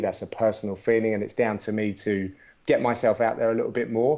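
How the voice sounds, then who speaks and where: A man with a British accent, at a fairly quick pace. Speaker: MMA commentator. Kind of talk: interview.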